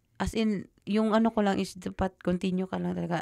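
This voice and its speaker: In a very clean recording with a silent background and a dry, close sound with no echo, a woman speaks at a moderate pace and medium pitch in a plain, everyday voice. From Philippines, Davao. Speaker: teacher. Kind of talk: casual interview chat.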